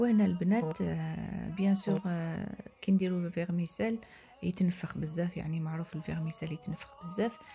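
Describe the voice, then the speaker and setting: Music plays in the background as a woman speaks with an Algiers accent. Her pitch is fairly low and varies in an ordinary way. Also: moderate pace, hardly any pauses. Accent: Algerian Arabic (Algiers), French loanwords. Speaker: home cook. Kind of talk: cooking tutorial. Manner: hesitant, many fillers.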